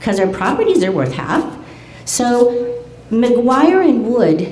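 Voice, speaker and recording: A woman with a fairly high pitch speaks over noticeable background noise, and the room echo is audible. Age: 70s. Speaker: community member speaking at public meeting. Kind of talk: public comment at community meeting. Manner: animated.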